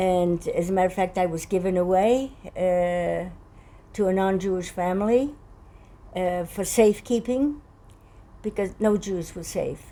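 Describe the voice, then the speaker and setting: A woman talks at a fairly slow pace with long, frequent pauses. Her voice has a dark, mellow tone, a medium pitch and ordinary pitch variation. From Poland. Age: 80s+. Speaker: Holocaust survivor. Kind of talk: testimony.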